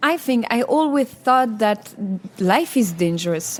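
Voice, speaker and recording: A high-pitched woman speaks in a Belgian accent at a fairly slow pace. Noticeable background noise runs underneath. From Wallonia, Belgium. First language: French. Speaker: singer, contest entrant. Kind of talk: interview. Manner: halting, many repetitions.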